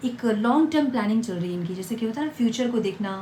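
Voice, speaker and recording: A woman speaks quietly at a fairly high pitch. Audible room echo and noticeable background noise surround her voice. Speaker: tarot reader. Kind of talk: tarot reading to viewers. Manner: quiet, low volume.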